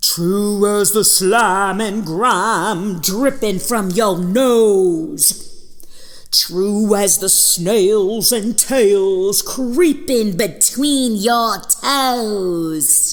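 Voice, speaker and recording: A put-on character voice at a fairly high pitch and a very slow pace, over light background noise. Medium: read story. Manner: rhyming, singsong.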